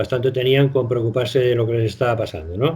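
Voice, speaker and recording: A somewhat breathy man's voice. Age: 70s. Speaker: retired doctor. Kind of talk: radio interview. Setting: phone call. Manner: halting.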